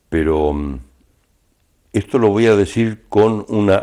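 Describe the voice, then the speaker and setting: Very deep and low, a man's dark, mellow voice carries lively intonation. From Argentina. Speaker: announcer, voice-over narrator. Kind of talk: interview answer.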